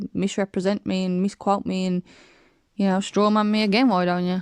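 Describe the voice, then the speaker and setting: A woman mumbles at a very fast pace with medium pitch and fairly even intonation. The sound is dry and close with no echo, over a quiet background. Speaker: flat earth video maker. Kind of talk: casual rebuttal commentary. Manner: mumbling.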